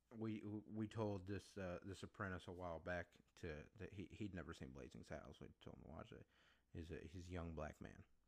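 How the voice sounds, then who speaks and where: This man has a very deep, low pitch and vocal fry, speaking with an American accent. He talks at a fairly quick pace with ordinary pitch variation. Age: 20s. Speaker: podcast host. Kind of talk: solo podcast monologue. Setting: home recording setup.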